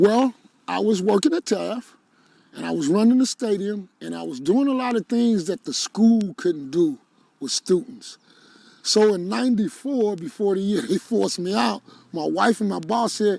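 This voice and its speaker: On a very clean recording with a silent background and a dry, close sound with no echo, a man with a dark, mellow tone and a high pitch speaks at a moderate pace with lively intonation. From Cincinnati, Ohio. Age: 60s. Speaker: nonprofit founder. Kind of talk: interview.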